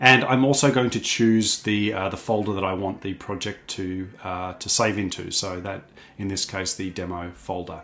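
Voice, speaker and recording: With an Australian accent, a man speaks at a moderate pace in a fairly low pitch, his tone bright and sharp, his intonation fairly even, with hardly any pauses. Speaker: product trainer. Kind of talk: tutorial. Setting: office. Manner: frequent fillers (um, uh).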